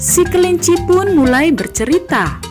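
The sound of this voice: Over faint music in the background, a woman with a slightly mellow tone and an extremely high pitch speaks at a moderate pace, her voice making big pitch swings.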